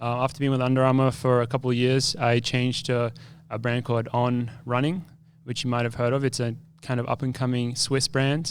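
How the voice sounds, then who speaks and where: Speaking at a very fast pace, a man keeps a medium pitch with flat, monotone intonation. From Australia. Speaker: professional runner. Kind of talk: live podcast conversation. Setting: live recording at expo with audience. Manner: casual, halting with fillers.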